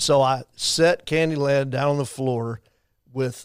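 With a Texan accent, a man speaks at medium pitch, his intonation fairly even. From Texas, Abilene. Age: 60s. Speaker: faith-based campaign director. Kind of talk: podcast interview.

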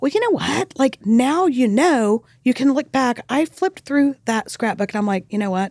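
Speaking at a moderate pace with hardly any pauses, a woman with an American accent uses a high pitch and lively intonation in a dry, close sound with no echo. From Texas, El Paso. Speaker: author and podcast host. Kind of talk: casual interview chat. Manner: animated.

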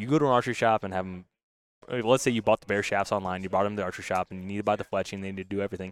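A man speaks at a very fast pace in a fairly low pitch with fairly even intonation. The recording is very clean, with a silent background and a dry, close sound with no echo. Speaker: product company representative. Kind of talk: casual interview chat. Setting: trade show interview.

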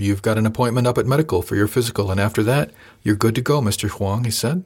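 On a very clean recording with a silent background, a man sounds somewhat breathy at a very fast pace, with ordinary pitch variation. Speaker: audiobook narrator. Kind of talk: dramatic first-person audiobook narration, reading aloud. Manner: measured, storytelling pace with expressive character voices; formal, polished.

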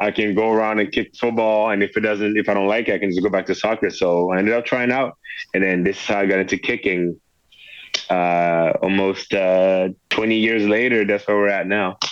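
With a French accent, a man speaks at a fairly quick pace in a monotone, flat intonation at very even loudness. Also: fairly low pitch for a man. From France. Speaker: professional football kicker. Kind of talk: interview. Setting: phone call.

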